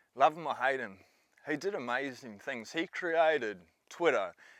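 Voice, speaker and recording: With an Australian accent, the speaker uses lively intonation at a moderate pace on a very clean recording with a silent background. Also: man. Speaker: bitcoin commentator. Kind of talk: casual vlog commentary.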